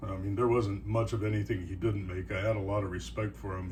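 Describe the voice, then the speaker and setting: Recorded with audible room echo, a man talks in a relaxed tone with vocal fry. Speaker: knifemaker and carver. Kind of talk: casual show-and-tell talk. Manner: relaxed, with fillers.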